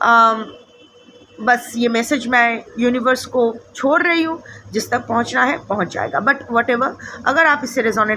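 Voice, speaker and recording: Through noticeable background noise, a woman with a slight non-native accent speaks at a fairly high pitch with ordinary pitch variation. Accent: slightly non-fluent Hindi. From India, Bengal. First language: Bengali (speaking Hindi). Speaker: tarot reader. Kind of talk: casual spiritual talk to camera. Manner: hesitant, many fillers.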